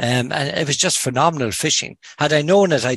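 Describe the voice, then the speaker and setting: A man with a Cork accent at a fairly quick pace, dry and close with no echo. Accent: Cork Irish. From Ireland, Kinsale, County Cork. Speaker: fly angler, medical professional. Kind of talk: casual interview chat.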